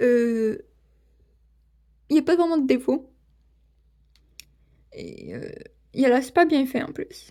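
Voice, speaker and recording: At a very slow pace, a woman speaks with a high pitch, ordinary pitch variation and a dark, mellow tone. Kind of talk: casual toy unboxing talk to camera. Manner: stammering, hesitant.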